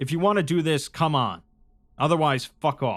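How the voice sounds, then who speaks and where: In a put-on character voice, a man speaks at a moderate pace with a fairly high pitch, recorded very cleanly against a silent background. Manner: threatening.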